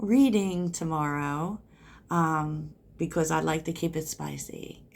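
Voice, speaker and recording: Soft-spoken, with ordinary pitch variation, this voice comes through on a very clean recording with a silent background. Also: woman. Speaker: tarot reader. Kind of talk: tarot reading. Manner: slow.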